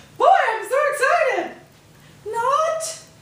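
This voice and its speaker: There is audible room echo and light background noise as a woman's voice makes very wide pitch swings. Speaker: fitness instructor. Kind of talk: workout tutorial. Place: garage. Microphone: camera far.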